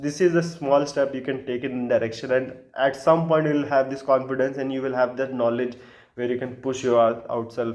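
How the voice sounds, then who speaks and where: A man with a non-native accent speaks at medium pitch. His pace is fairly quick and his intonation fairly even. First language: not English. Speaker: vlogger giving dating and social advice. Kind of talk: casual monologue to camera. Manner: hesitant, many filler sounds.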